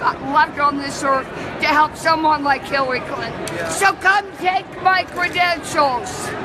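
A woman talks at a fairly slow pace. Noticeable background noise runs under her voice. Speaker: convention delegate. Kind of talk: impassioned interview answer. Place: hall. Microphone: phone near.

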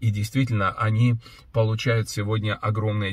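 A man speaks at a moderate pace in a fairly low, somewhat breathy voice. His intonation is fairly even, and the sound is dry with no echo. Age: 60s. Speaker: pastor and businessman; pastor. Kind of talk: video blog monologue answering viewer questions. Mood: earnest, reflective. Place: car. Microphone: phone near.

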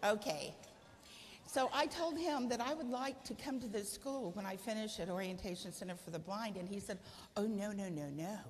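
A woman at medium pitch talks at a moderate pace with lively intonation over light background noise. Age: 60s. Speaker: guide dog user; guest, guide dog user. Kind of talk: speech. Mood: warm, humorous storytelling. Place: hall.

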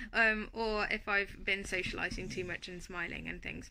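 A woman talks at a moderate pace while light background noise plays beneath her. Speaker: vlogger. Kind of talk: casual vlog chat. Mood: calm, matter-of-fact. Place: home room. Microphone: phone near.

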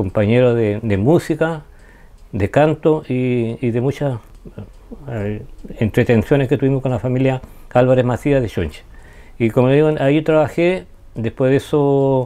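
A man's dark, mellow voice at a fairly slow pace, broken by long, frequent pauses. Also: ordinary pitch variation. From Chile, Ancud (Chiloé); Chile. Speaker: wood carver and artist. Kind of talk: interview. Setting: his studio. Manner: halting. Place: home room. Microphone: lapel.

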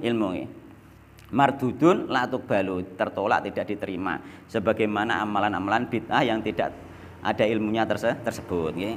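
A man is speaking. His pace is fairly quick. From Java, Indonesia. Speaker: Islamic preacher. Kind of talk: religious study lecture. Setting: mosque. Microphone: studio mic.

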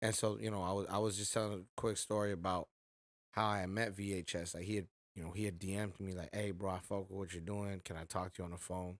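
With an American accent, a man speaks fairly low, flat and monotone, at a fairly quick pace. The background is quiet and the sound is dry, with no echo. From Inland Empire, Southern California; Southern California. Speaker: rapper; podcast host or guest. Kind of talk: casual chat. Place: home room. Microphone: studio mic.

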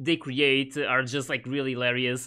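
The background is quiet. A man speaks with a bright, sharp tone. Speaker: anime reaction youtuber. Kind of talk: casual commentary. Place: home room. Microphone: studio mic.

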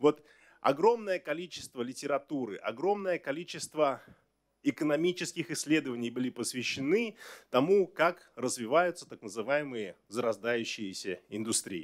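Over a quiet background, a man speaks at a moderate pace. His fairly high pitch makes very wide swings. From Kazakhstan. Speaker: government minister. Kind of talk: press briefing answers. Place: hall. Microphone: podium.

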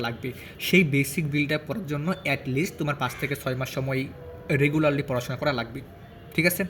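A man is talking with a fairly high pitch. The intonation stays fairly even, and noticeable background noise is present. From Bangladesh, Gazipur. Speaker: medical student and study advice YouTuber. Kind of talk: advice talk to students. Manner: casual, with pauses.

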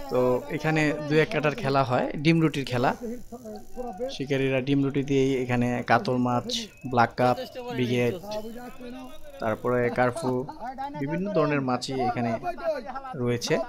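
Noticeable background noise behind a man's voice, its pitch variation ordinary. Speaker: fishing channel narrator. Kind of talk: commentary. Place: waterside. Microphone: phone near.

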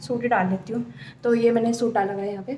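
A woman speaks in a high, monotone voice with flat intonation, with noticeable background noise behind her. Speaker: vlogger. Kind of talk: casual vlog chat. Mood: cheerful. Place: home room. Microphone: phone near.

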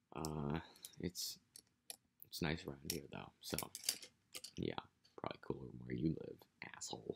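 A man with an American accent speaks at a moderate pace. He leaves long, frequent pauses amid noticeable background noise. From United States. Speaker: vlogger. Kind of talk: casual vlog monologue. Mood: amused, joking. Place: home room. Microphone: webcam.

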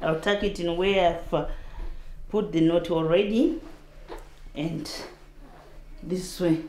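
Speaking at a very slow pace with long, frequent pauses, a woman uses fairly even intonation at a fairly low pitch, with light background noise and an audible room echo. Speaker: refugee; mother. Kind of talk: casual talk to camera. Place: home room. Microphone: lapel.

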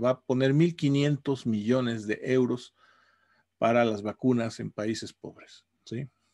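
With a quiet background behind him, a man speaks in fairly even intonation. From Mexico. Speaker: university professor. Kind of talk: casual video blog monologue. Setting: home office. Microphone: webcam.

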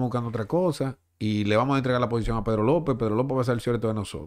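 A man speaks against a quiet background. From Dominican Republic. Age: 40s. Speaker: sports journalist and baseball broadcaster; sports journalist. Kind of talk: casual chat. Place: studio. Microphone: studio mic.

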